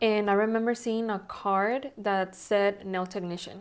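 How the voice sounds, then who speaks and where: Fairly slow speech in a Spanish accent, with fairly even intonation. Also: woman, very clean recording, silent background. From Mexico (Monterrey), moved to Texas at 15. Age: 30s. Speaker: nail technician and salon owner. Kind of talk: interview. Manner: conversational, many fillers.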